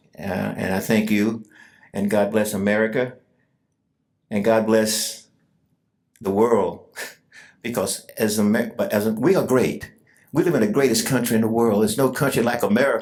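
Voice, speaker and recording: Pausing long and often, a man with a Southern US accent speaks at a medium pitch and a moderate pace. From US South, Georgia. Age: 80s+. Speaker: war veteran. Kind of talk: testimony speech.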